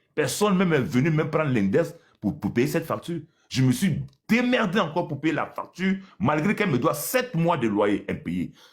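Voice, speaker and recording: Marked by vocal fry, the voice moves at a moderate pace with very wide pitch swings. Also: man, fairly high pitch for a man. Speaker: landlord. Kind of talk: live call-in complaint. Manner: soft-spoken, rising in volume; halting.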